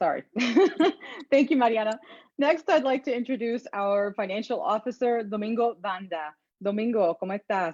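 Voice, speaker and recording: With an American accent, a woman speaks in an unremarkable speaking voice at a fairly high pitch. Her intonation is lively, and her pace is moderate. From Houston, Texas. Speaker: chapter president, journalist. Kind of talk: event moderation. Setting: video call.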